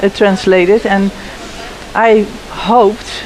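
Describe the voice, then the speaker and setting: Speaking with a Dutch accent, a woman uses a medium pitch and a fairly slow pace. Her intonation is monotone and flat, with noticeable background noise behind her. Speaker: pelvic health physiotherapist and researcher. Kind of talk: panel interview. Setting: conference live lounge. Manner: halting, with frequent fillers and restarts.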